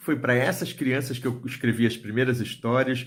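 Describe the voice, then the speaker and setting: The voice belongs to a man with a medium pitch and a somewhat breathy quality. His intonation is monotone and flat. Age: 60s. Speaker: writer and storyteller. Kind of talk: video talk to book fair audience. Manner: hesitant, with fillers.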